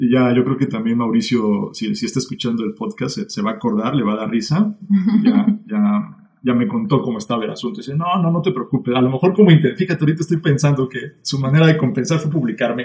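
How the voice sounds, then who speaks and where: Speaking at a very fast pace with hardly any pauses, a man uses a fairly high, somewhat breathy voice that makes very wide pitch swings. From Mexico City. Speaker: author. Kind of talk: casual chat.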